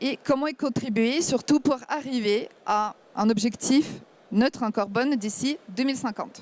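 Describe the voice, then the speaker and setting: With a Ukrainian accent, a woman speaks fairly slowly in a high voice, her pitch varying in an ordinary way. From Ukraine. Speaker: startup founder. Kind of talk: startup pitch.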